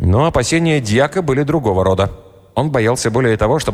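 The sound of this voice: Lively intonation in an unforced reading voice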